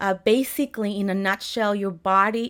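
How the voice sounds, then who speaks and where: A woman speaks in a Spanish accent at a moderate pace and medium pitch, her intonation fairly even, on a very clean recording with a silent background. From Mexico City, Mexico. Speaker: health coach. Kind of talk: interview. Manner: halting.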